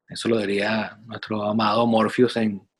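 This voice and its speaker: A man is speaking. His pace is fairly slow. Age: 40s. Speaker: podcast co-host, personal development coach. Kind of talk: casual chat.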